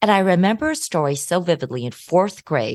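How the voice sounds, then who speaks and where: In a General American accent, a woman speaks at a moderate pace with very wide pitch swings, the sound dry and close with no echo and the background quiet. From US Midwest. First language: Hokkien Chinese. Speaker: law professor. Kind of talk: interview.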